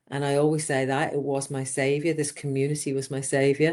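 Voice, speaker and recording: With an English accent, a woman speaks at a moderate pace in a very deep, low pitch. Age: 60s. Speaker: business coach. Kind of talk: interview. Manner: animated.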